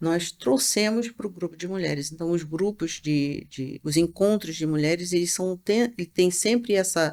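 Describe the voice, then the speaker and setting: At a fairly slow pace, a woman speaks with lively intonation and a fairly low pitch. The recording is very clean, with a silent background. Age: 60s. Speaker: shaman teacher. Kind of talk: interview. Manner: halting.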